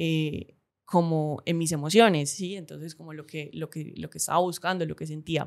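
A woman's very deep, low voice at a moderate pace, with fairly even intonation and big swings in loudness. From Cali, Colombia. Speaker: podcast host. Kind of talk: solo reflective monologue. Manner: hesitant, many fillers and repetitions.

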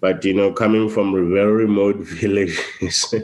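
The speaker is a man with a fairly low pitch. He keeps a moderate pace. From Lesotho. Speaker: consultant. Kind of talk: interview.

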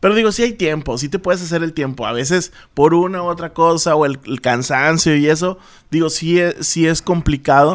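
A man's fairly high-pitched, plain, everyday voice at a moderate pace with ordinary pitch variation, on a very clean recording with a silent background. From Tamaulipas, Mexico (Altamira). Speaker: radio and TV producer. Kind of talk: casual chat.

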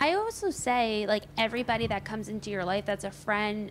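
At a moderate pace, a woman speaks in a normal speaking voice with a fairly high pitch. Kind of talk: casual chat. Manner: casual, filler-heavy.

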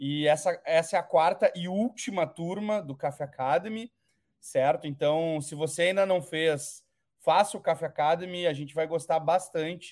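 This man speaks at a moderate pace in a high pitch with ordinary pitch variation, recorded very cleanly against a silent background. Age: 30s. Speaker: company executive hosting a webinar. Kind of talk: panel discussion moderation.

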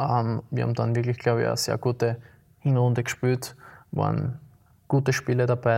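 Monotone, flat intonation from a man at medium pitch and a moderate pace. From Austria, Graz (Liebenau). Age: 20s. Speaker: amateur football goalkeeper. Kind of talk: casual interview. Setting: city council chamber.

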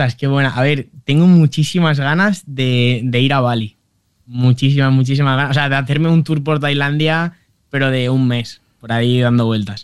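The intonation is fairly even throughout. This man talks at a moderate pace. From Valencia, Spain. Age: 20s. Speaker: humor content creator. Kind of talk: interview.

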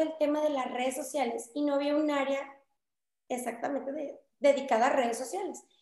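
At a moderate pace, a woman speaks in a space with audible room echo. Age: 20s. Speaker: political candidate. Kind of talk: interview. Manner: talkative.

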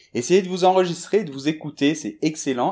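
At a very fast pace, a man speaks in a dark, mellow tone with lively intonation. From France, Bordeaux. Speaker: French teacher. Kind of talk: storytelling for language learners.

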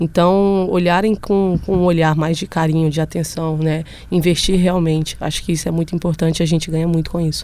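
A woman's fairly low, dark and mellow voice, monotone and flat, at a fairly quick pace. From Brazil, Belo Horizonte. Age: 20s. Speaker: professional footballer. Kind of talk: casual interview chat. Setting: studio.

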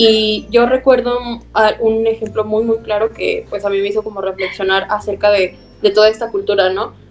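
A woman speaks at a moderate pace in a fairly high pitch with monotone, flat intonation. Noticeable background noise sits behind her. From Zacatecas, Mexico. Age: 20s. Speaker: student and environmental project leader. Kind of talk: podcast interview.

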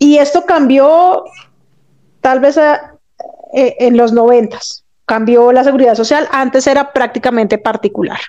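A woman with a high, dark and mellow voice speaks fairly slowly, with long, frequent pauses. Her pitch varies in an ordinary way and her loudness stays very even. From Colombia, Bogotá. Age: 40s. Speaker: physiotherapist. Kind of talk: interview.

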